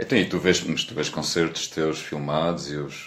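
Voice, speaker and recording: This man's voice is very deep and low. He keeps to a moderate speed. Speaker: podcast host. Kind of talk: casual chat.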